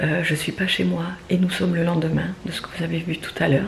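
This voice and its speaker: Soft-spoken and fairly low in pitch, a woman talks at a fairly slow pace. Audible room echo and noticeable background noise are present. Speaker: family vlogger. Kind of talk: casual vlog chat. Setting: at neighbours' home. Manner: hesitant, many fillers; speaking softly.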